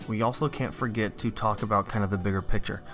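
Music plays in the background. The voice moves at a fairly quick pace with ordinary pitch variation. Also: man. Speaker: science teacher. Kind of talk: lecture.

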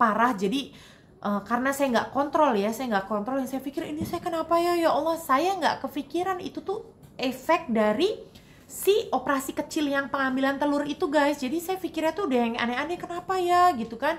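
Speaking at a fairly quick pace, a woman has a high pitch and lively intonation. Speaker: vlogger. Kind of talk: casual vlog chat. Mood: emotional personal storytelling. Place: home room. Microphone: phone near.

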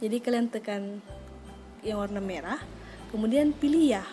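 Over music in the background, a voice shows ordinary pitch variation. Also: woman. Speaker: mobile game tutorial creator. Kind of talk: tutorial voice-over. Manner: casual, friendly.

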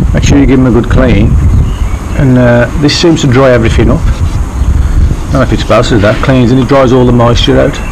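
A man rattles along very fast while noticeable noise fills the background. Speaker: amateur motorcycle mechanic. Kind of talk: casual DIY tutorial talk to camera. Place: street. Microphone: phone near.

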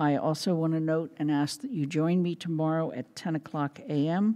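Against a quiet background, a woman with a fairly low pitch and a dark, mellow tone talks at a moderate pace with ordinary pitch variation. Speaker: council chair. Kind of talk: meeting chairing announcements. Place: hall. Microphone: podium.

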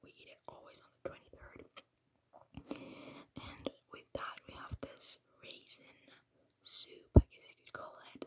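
The words are whispered at a fairly slow pace. Pauses are long and frequent. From Finland. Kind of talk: ASMR Christmas Q&A to camera.

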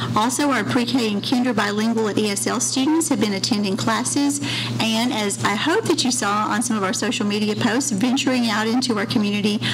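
A woman speaks at a fairly quick pace. Noticeable background noise runs behind her. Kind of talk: formal report at public meeting. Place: meeting room. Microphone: podium.

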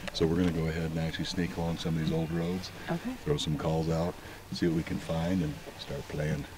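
A man speaks in a very deep, low voice with flat, monotone intonation at a fairly quick pace. The sound is dry with no echo, though background noise is noticeable. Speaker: hunting guide. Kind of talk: explaining plan to hunting partner. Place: forest.

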